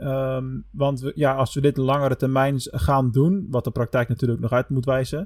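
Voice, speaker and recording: A man with an unremarkable speaking voice, medium pitch and fairly even intonation, in a dry, close sound with no echo. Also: moderate pace. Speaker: podcast host. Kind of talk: casual chat.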